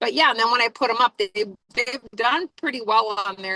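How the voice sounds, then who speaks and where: A woman speaks loudly at a fairly quick pace with ordinary pitch variation. Her tone is bright and sharp, and the sound is dry and close with no echo. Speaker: reverend and online business coach. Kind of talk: casual group discussion. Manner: loud, projecting; fast, full of fillers.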